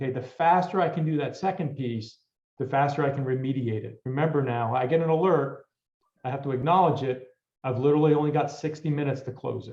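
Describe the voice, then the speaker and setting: Somewhat breathy, a man talks at a very fast pace. His fairly high pitch stays fairly even in intonation. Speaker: cybersecurity vendor presenter. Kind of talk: technical presentation.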